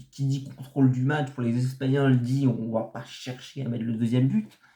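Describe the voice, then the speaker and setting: A man's somewhat breathy voice, fairly high in pitch with a dark, mellow tone, at a fairly slow pace. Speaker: football commentator youtuber. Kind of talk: casual video analysis monologue. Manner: halting, many hesitations.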